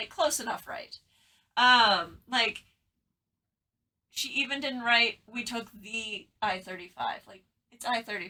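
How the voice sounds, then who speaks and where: With lively intonation and an animated tone, a woman speaks in a bright, sharp voice at fairly high pitch, her loudness swinging widely between long, frequent pauses. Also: fairly slow pace. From Texas. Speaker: podcast co-host. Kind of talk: casual chat. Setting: in the same room with co-host.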